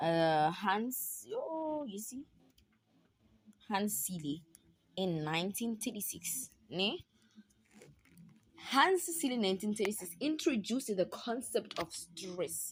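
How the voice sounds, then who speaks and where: Somewhat breathy, a woman speaks at a very slow pace with long, frequent pauses. Her pitch swings very widely. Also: medium pitch for a woman. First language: not English (South African language). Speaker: university student tutoring peers. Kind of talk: casual study tutorial. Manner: chatty, repetitive.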